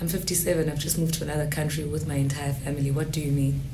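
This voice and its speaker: Monotone, flat intonation with noticeable background noise and audible room echo. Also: woman. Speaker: guest on a personal finance podcast. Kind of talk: casual interview chat.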